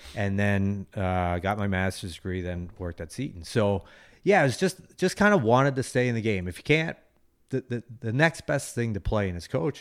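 A man with an American accent speaks at a moderate pace, fairly low in pitch and lively in intonation, in an unremarkable speaking voice. The recording is very clean, with a silent background. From Philadelphia, US. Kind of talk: interview.

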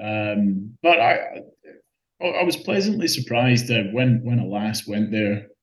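This man's voice sits at a medium pitch. The intonation moves in a lively way. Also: fairly slow pace. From Scotland. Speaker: open-water swimmer. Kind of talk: casual interview. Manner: halting.

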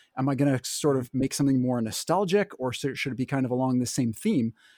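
A man's dark, mellow, medium-pitched voice with a Canadian accent at a fairly quick pace, dry and close with no echo on a very clean recording with a silent background. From Canada. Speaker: board game creator. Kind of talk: casual podcast interview.

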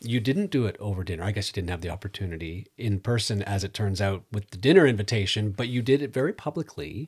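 A man with a fairly low, somewhat breathy voice races along at a very fast pace with hardly any pauses and ordinary pitch variation, in a very clean recording with a silent background. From Netherlands. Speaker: podcast host. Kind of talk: scripted intro and interview.

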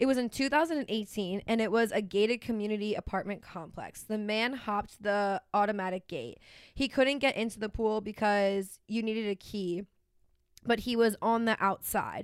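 An unremarkable speaking voice from a woman, fairly high-pitched, with ordinary pitch variation and a moderate pace, on a very clean recording with a silent background. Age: 20s. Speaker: podcast co-host. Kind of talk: casual chat.

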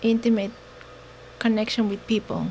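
With a Mexican accent, a woman speaks at a fairly high pitch. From Mexico. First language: Mexican Sign Language, then Spanish. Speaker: nonprofit founder. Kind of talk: interview.

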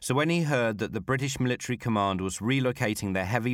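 This man has an unremarkable speaking voice and talks at a fairly quick pace. The recording is very clean, with a silent background. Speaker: podcast host and storyteller. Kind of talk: history documentary narration. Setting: studio recording in Warsaw. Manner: measured, storytelling narration with vivid detail; formal, polished scripted delivery.

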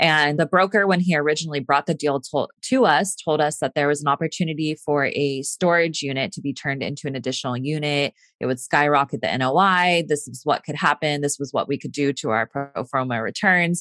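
With an American accent, a woman talks at a fairly quick pace in a very deep, low voice, hardly pausing at all, on a very clean recording with a silent background and a dry, close sound without echo. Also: ordinary pitch variation. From Northern California. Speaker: nurse and real estate investor. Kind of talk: interview.

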